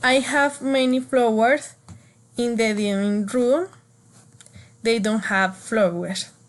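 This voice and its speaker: A woman's fairly high voice with a Spanish accent, ordinary pitch variation, a very slow pace and long, frequent pauses. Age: 20s. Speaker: student. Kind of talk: class speaking assignment. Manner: halting.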